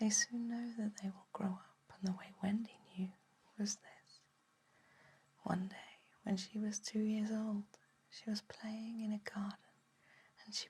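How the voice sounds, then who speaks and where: A soft-spoken whisper in a gentle tone at a fairly slow pace. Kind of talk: ASMR bedtime story reading. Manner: soft-spoken, gentle, whispering.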